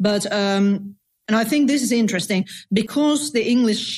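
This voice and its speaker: A woman speaks with a Finnish accent and ordinary pitch variation. The recording is very clean, with a silent background. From Finland. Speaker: novelist. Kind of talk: casual chat.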